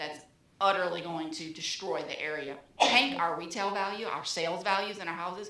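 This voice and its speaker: Noticeable background noise and audible room echo are present. A woman talks through them. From New Orleans, Louisiana. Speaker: resident speaking at public meeting. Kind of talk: public comment at city meeting. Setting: public meeting room at microphone. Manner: animated.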